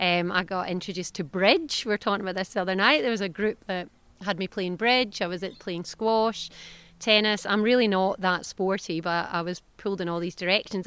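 In a Scottish accent, a woman speaks at a moderate pace with a medium pitch, captured in a very clean recording with a silent background. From southwest Scotland. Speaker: veterinarian and clinic owner. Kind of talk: casual interview chat. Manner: animated, warm, candid.

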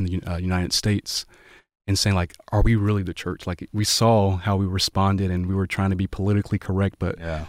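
A man with a Southern US accent and a fairly low pitch speaks fairly quickly with fairly even intonation. The recording is very clean and dry, close with no echo, over a silent background. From US South, Waycross, Georgia. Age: 20s. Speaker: pastor. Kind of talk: casual chat.

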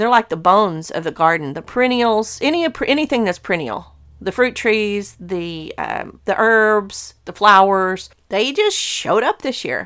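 Speaking at a moderate pace with lively intonation, a woman uses an ordinary speaking voice pitched fairly high. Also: hardly any pauses, very clean recording, silent background. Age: 50s. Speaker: gardening podcast host. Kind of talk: casual solo talk.

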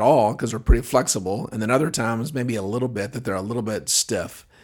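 A man of medium pitch speaks at a very fast pace. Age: 40s. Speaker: chiropractor. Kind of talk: solo podcast monologue. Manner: frequent fillers and repetitions.

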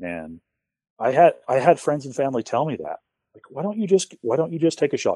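A man talks at a fairly quick pace with vocal fry. The sound is dry and close with no echo, over a quiet background. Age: 30s. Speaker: bowhunter. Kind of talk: casual chat.

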